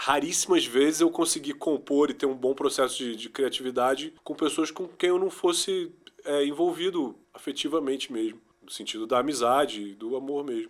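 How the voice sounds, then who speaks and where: Here a man has an ordinary speaking voice, a fairly high pitch and ordinary pitch variation. He keeps a moderate pace, with big swings in loudness. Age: 40s. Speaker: musician and music producer. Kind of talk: interview.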